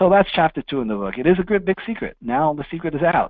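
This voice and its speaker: A man with a New York accent talks at a very fast pace. His pitch swings very widely. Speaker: financial services presenter and author. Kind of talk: webinar presentation.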